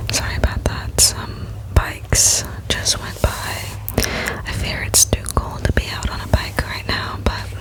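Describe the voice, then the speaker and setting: The voice is a whisper, moving very slowly. Noticeable background noise can be heard throughout. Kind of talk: ASMR book reading. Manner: whispered.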